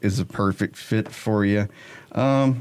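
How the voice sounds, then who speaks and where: With an American accent, a man talks at a fairly low pitch. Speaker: podcast host. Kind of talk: casual chat. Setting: radio station studio. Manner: quiet.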